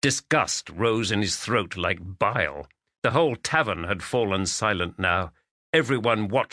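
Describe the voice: With a quiet background, the clip offers plain reading aloud.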